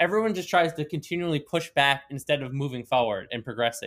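Using an ordinary speaking voice, a man with an American accent talks at a fairly quick pace, his pitch fairly high with ordinary variation. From Long Island, New York. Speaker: sports podcast host. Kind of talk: casual chat.

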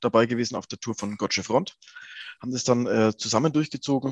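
An ordinary speaking voice from a man, medium in pitch with ordinary pitch variation, dry and close with no echo. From Lower Franconia, Germany. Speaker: rock singer. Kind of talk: interview.

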